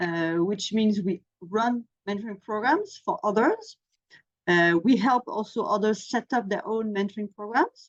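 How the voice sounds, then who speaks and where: A woman's fairly high voice with a French accent, lively intonation and a fairly slow pace, in a dry, close sound with no echo. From France. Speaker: mentoring program manager. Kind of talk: webinar presentation.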